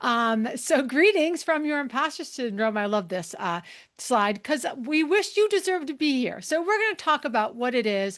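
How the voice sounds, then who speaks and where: Against a quiet background, an animated tone comes through at a moderate pace, with very wide pitch swings and hardly any pauses. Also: woman, high pitch for a woman. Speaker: leadership consultant and speaker. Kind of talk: webinar presentation.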